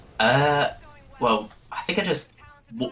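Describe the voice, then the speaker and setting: Here a man speaks with a British accent. There is noticeable background noise. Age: young. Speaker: streamer. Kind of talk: casual interview. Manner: hesitant.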